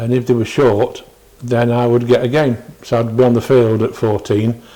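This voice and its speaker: A man's flat, monotone voice of medium pitch, with a Derbyshire accent. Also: moderate pace. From northern England. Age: 60s. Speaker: retired cricketer. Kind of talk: oral history interview. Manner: halting.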